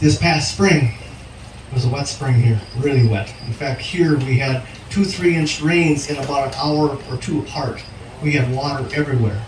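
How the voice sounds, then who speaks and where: Noticeable background noise sits behind a man with an American accent who speaks at a moderate pace with a fairly high pitch and ordinary pitch variation. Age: 60s. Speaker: farmer. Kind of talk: presentation at field day. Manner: hesitant with fillers.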